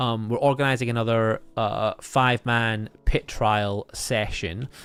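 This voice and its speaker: A man with a Scottish accent talks at a fairly slow pace and medium pitch, keeping a fairly even intonation. The recording is very clean, with a silent background. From Scotland. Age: 30s. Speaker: gaming streamer. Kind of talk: live stream chat. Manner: hesitant fillers.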